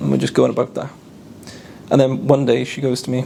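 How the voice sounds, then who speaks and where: A man with a South Wales accent, fairly quick and fairly even in intonation, over noticeable background noise. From South Wales (Caerphilly). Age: 20s. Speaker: convert telling his story. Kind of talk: testimony. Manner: casual, repetitive storytelling.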